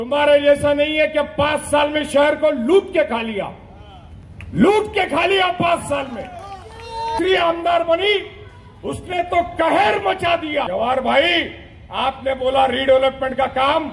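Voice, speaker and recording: A man with an extremely high pitch and lively intonation, crowd noise in the background. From Mira-Bhayandar, Maharashtra, India. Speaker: politician. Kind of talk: political rally speech. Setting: outdoor public rally. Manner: animated.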